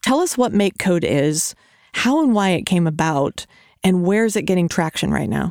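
Woman with an ordinary speaking voice, medium pitch and lively intonation, at a moderate pace with very even loudness and a dry, close sound with no echo. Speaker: podcast host. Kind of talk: interview, scripted intro. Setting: studio.

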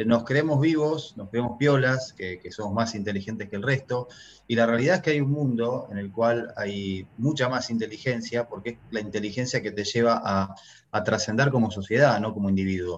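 The delivery moves at a moderate pace and its pitch varies in an ordinary way. It is an ordinary speaking voice. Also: man, medium pitch for a man. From Argentina. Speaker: real estate investor, entrepreneur. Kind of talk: interview.

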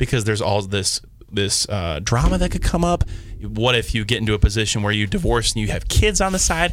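A man with a fairly low voice talks fairly quickly and with lively intonation as music plays in the background. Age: 20s. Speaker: radio station staffer. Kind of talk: casual panel chat. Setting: studio. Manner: animated.

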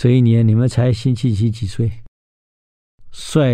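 The speaker is a man. His tone is dark and mellow. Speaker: radio history show host. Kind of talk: radio storytelling lecture. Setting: radio studio. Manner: animated, many filler particles.

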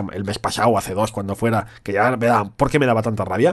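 A man talks in an animated tone over a quiet background. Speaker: podcast co-host. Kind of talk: casual chat.

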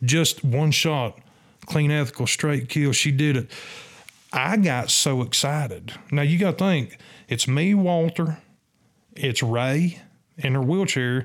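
A man with a Southern US accent at a very slow pace, with long, frequent pauses, very even loudness and ordinary pitch variation, on a very clean recording with a silent background. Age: 50s. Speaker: turkey hunter and hunting guide. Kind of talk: casual interview storytelling. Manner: animated.

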